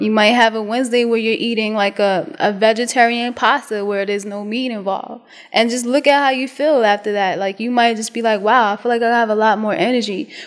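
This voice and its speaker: A woman with a New York accent speaks with hardly any pauses and fairly even intonation. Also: fairly high pitch for a woman, fairly quick pace. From US Northeast, Brooklyn, New York. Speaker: vegan chef. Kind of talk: interview. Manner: casual.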